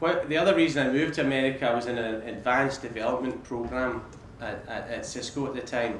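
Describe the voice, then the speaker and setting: Amid noticeable background noise and audible room echo, a man talks at medium pitch and a moderate pace with ordinary pitch variation. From Scotland, Paisley. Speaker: business executive. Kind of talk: talk to students. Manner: repeats words often.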